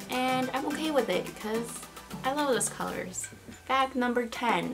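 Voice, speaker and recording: Clear music sounds in the background. Over it, a woman talks. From Peru. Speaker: lifestyle YouTuber. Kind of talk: casual talk to camera. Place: home room. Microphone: camera far.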